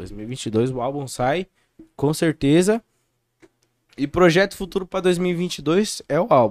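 Very slow and broken by long, frequent pauses, this man's voice sits fairly high and carries lively intonation. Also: dry, close sound with no echo. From Brazil, São Paulo state (Campo Limpo Paulista). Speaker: grime MC. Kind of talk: casual chat.

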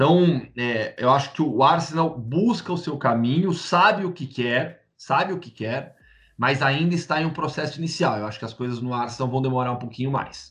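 A man with an unremarkable speaking voice, fairly high pitch and ordinary pitch variation, at a moderate pace with hardly any pauses, over a quiet background. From Campinas, interior of São Paulo, Brazil. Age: 30s. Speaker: sports journalist. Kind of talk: interview.

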